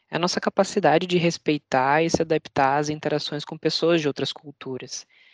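Against a quiet background, the talking runs at a fairly quick pace. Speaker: employee network leader. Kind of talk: casual interview.

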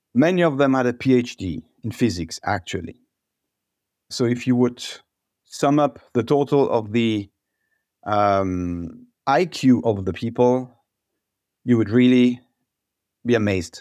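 Speaking with a French accent, a man uses a medium pitch and lively intonation at a fairly slow pace, in a very clean recording with a silent background. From France, Alsace. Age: 40s. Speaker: product management team lead. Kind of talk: panel discussion.

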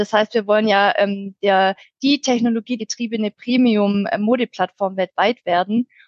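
Speaking with a Swabian accent, a woman uses a fairly high pitch and fairly even intonation at a moderate pace. The sound is dry and close, with no echo. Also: very even loudness. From Swabia, near Stuttgart, Germany. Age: 30s. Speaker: IT change management team lead. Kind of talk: podcast interview.

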